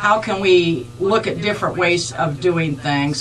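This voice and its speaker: Faint music plays in the background. A woman with an American accent speaks at a fairly slow pace. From southern Ohio, near Cincinnati. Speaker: political candidate for county clerk; candidate. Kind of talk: radio interview. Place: studio.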